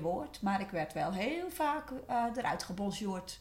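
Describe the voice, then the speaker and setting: A woman with a medium pitch talks at a very slow pace with lively intonation, and the room echo is audible. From West-Friesland, Netherlands. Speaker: former coaching client. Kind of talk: personal testimony. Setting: studio.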